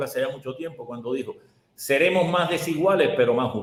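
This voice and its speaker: A man with a high pitch talks at a fairly quick pace. The room echo is audible. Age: 70s. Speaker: economist, professor. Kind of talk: interview. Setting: video call.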